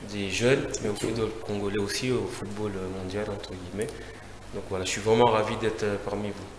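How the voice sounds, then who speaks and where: There is audible room echo and noticeable background noise as a man talks at a moderate pace in a fairly low, monotone, flat voice. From France (left Congo at nine). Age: 40s. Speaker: football manager, former player. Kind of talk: TV interview. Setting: TV studio. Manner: hesitant, many fillers.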